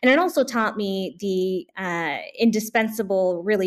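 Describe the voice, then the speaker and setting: An unremarkable speaking voice with an American accent moves at a fairly slow pace with ordinary pitch variation. The recording is very clean, with a silent background. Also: woman. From US West Coast, Bay Area California. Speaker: physician and public health official. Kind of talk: interview.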